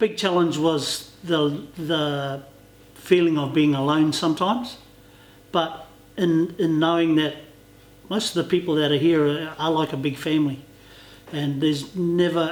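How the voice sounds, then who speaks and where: Amid noticeable background noise and audible room echo, a man speaks fairly high and at a fairly slow pace. His intonation is fairly even, with long, frequent pauses. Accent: New Zealand. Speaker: interviewee. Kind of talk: interview.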